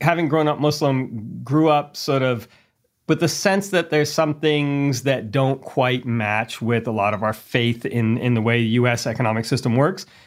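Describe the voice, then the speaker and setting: On a very clean recording with a silent background, an unremarkable speaking voice with an American accent moves at a moderate pace with ordinary pitch variation. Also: man. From US East Coast and St. Louis. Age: 40s. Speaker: engineering lecturer. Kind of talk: interview conversation.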